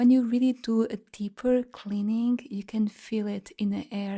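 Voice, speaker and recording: With a Portuguese accent, a woman speaks fairly slowly at a fairly high pitch, her tone calm, dark and mellow, and somewhat breathy. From Portugal, Lisbon. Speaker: sound healer. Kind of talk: guided meditation. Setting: live online group session.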